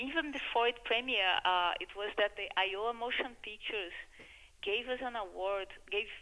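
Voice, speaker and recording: A woman talks with a Brazilian accent. Her pitch varies in an ordinary way. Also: fairly high pitch for a woman, moderate pace. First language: Portuguese. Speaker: filmmaker. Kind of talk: radio interview.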